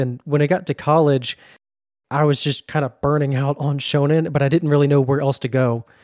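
A man talks at a fairly quick pace with a fairly high pitch. The sound is dry and close with no echo, and the recording is very clean against a silent background. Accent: Southern US. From US South, Mississippi. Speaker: anime podcaster. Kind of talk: casual chat.

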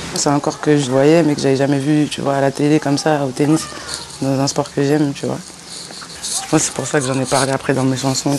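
A woman with a very deep, low pitch speaks at a fairly quick pace in a monotone, flat intonation, leaving long, frequent pauses. Noticeable background noise is present. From Lyon area, France. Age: 20s. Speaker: rapper. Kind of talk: interview. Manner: casual, filler-heavy.

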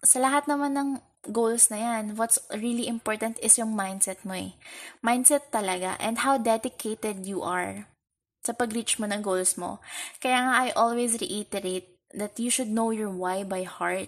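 Moderately paced speech from a woman, fairly high in pitch and ordinary in its pitch variation. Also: quiet background. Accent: Filipino. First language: Tagalog. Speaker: podcast host. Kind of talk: casual solo podcast talk. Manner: conversational Taglish code-switching.

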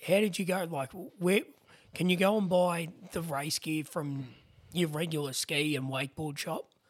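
In an Australian accent, a man speaks at a moderate pace with long, frequent pauses, using a fairly high pitch with ordinary variation. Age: 30s. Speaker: podcast host with spinal cord injury. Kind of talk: casual chat. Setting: studio.

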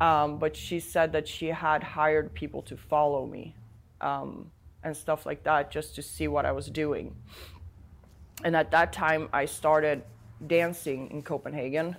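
A woman speaks at a fairly slow pace with a Polish accent on a very clean recording with a silent background. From Poland and Sweden. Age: 30s. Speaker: online adult content creator. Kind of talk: interview testimony. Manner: hesitant, many fillers.

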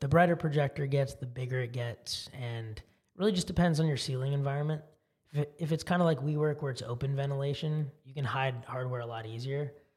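Fairly high-pitched, somewhat breathy man's voice with an American accent, fairly quick pace and ordinary pitch variation. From US West Coast (Silicon Valley, California). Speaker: tech startup founder. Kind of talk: interview.

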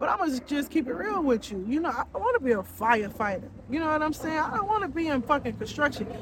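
Over noticeable background noise, a woman talks at a very fast pace. Her high voice moves through very wide pitch swings. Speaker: podcast host. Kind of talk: solo monologue. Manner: casual, filler-heavy.

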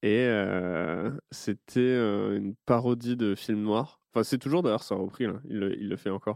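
Against a quiet background, a man with a fairly low pitch speaks at a fairly slow pace with hardly any pauses and ordinary pitch variation. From French countryside. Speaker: comedian and podcast host. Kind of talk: casual chat.

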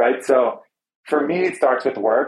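A man with a plain, everyday voice, medium pitch, and ordinary pitch variation. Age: 40s. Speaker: magazine editor and brand partner. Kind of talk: interview.

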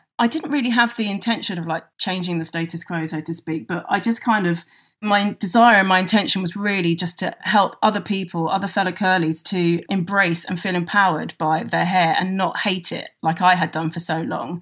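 Speaking with a London accent, a woman talks at a fairly quick pace with hardly any pauses, a medium pitch and ordinary pitch variation. The recording is very clean, with a silent background. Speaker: hair care business founder. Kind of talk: interview.

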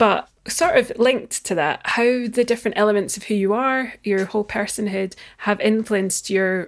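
This is a normal speaking voice. The recording is very clean, with a silent background. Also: woman. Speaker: podcast host. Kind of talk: interview.

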